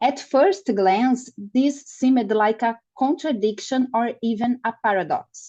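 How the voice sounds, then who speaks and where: A woman with a non-native accent speaks at a fairly slow pace in a high voice with a dark, mellow tone and lively intonation. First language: Portuguese. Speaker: nutrition researcher. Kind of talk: lecture. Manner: halting.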